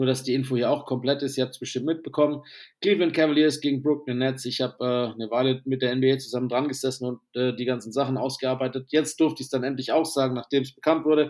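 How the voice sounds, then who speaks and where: A man at medium pitch, very fast and with hardly any pauses, in fairly even intonation, on a very clean recording with a silent background. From southern Germany. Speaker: basketball podcast host. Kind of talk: casual chat.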